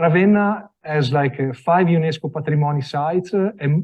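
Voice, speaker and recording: A man talks at a moderate pace with an Italian accent. He sounds somewhat breathy, with ordinary pitch variation. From Italy. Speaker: design products sales representative. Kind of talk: product presentation. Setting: after-hours event with live audience. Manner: halting, many fillers.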